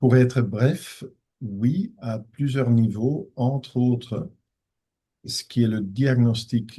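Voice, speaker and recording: Somewhat breathy with a dark, mellow tone, a man speaks very slowly at a medium pitch with fairly even intonation. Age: 60s. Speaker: professor of ophthalmology, retina specialist. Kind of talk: conference Q&A. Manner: hesitant, with many fillers.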